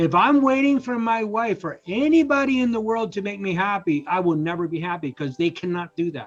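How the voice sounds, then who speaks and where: Music plays behind a man with a high voice and very wide pitch swings. He talks at a fairly quick pace with hardly any pauses. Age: 60s. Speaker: life transformation coach and author. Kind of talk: interview conversation.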